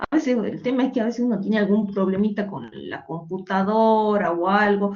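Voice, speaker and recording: Her pitch medium and ordinary in variation, a woman talks at a moderate pace. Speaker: economics teacher. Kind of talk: online lecture. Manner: loud. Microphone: saturated audio, no microphone, computer mic.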